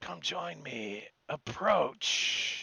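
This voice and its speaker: A man does a raspy, put-on character voice at a medium pitch. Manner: commanding.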